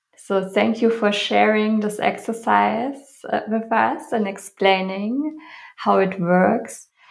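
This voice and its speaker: Speaking in a German accent at a very slow pace, a woman with a fairly high pitch and ordinary pitch variation is heard with audible room echo. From Germany. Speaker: podcast host, yoga teacher. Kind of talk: interview.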